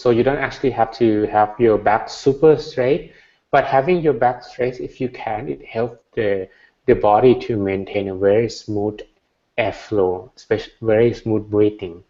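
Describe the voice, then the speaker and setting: At a moderate pace, a man with a Thai accent speaks at a medium pitch with lively intonation. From Thailand. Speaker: Buddhist monk, meditation teacher. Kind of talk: meditation Q&A.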